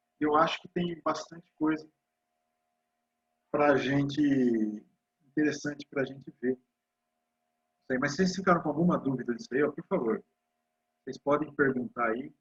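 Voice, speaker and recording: A man's somewhat breathy voice, fairly high in pitch with ordinary pitch variation, at a moderate pace with long, frequent pauses and big swings in loudness, in a dry, close sound with no echo. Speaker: university physics lecturer. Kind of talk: lecture.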